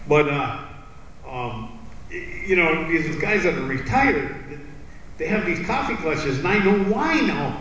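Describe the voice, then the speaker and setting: Speaking in an American accent, a man with a high pitch and very wide pitch swings goes at a fairly slow pace amid noticeable background noise and audible room echo. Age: 60s. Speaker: comedian. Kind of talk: stand-up. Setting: stage with audience. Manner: animated.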